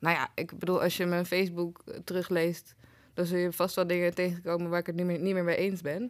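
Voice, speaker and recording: A woman with an ordinary speaking voice and a fairly low pitch is heard in a very clean recording over a silent background. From Netherlands, Den Bosch. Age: 30s. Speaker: writer and programme maker. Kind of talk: casual interview chat.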